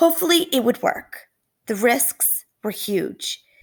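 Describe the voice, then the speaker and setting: A woman puts on a character voice that is raspy, high in pitch and warm in tone. She talks at a fairly slow pace. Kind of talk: classroom read-aloud. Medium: read story. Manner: warm, expressive.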